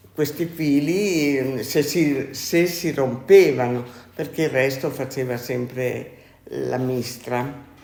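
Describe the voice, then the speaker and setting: Speaking very slowly in a room with audible echo, a woman uses a very deep, low pitch with ordinary pitch variation. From Italy, Friuli (Maniago). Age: 80s+. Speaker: former silk mill worker. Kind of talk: interview. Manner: halting.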